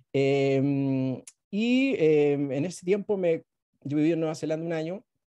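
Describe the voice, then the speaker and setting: Against a quiet background, a man speaks in a fairly high voice with a dark, mellow tone and ordinary pitch variation. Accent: Chilean. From Chile. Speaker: travel blogger and moderator; travel blogger, moderator. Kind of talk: moderated presentation. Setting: video call. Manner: halting with many fillers. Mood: friendly, smiling. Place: home room. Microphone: video call.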